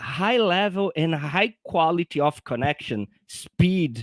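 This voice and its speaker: A man with a non-native accent speaks at a fairly slow pace in a high pitch. The recording is very clean with a silent background, and the sound is dry and close with no echo. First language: not English. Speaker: software engineer. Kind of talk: technical explanation in live show.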